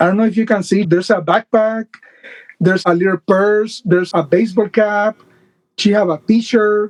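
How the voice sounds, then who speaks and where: This man speaks in a Puerto Rican accent at a high pitch and a moderate pace, with fairly even intonation and very even loudness. The sound is dry and close with no echo. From Puerto Rico. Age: 50s. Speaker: doll collector. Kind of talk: casual interview chat.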